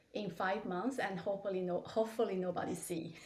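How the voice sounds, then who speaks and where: This woman has a medium-pitched voice. She speaks with a non-native accent. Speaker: medical device company CEO. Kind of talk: interview. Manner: hesitant with fillers.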